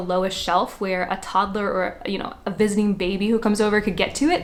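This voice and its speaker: Her pitch is fairly high for a woman, with ordinary variation. She talks at a fairly quick pace in an animated tone. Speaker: homeschooling mother and education channel host. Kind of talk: casual tutorial talk to camera. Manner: fast talker.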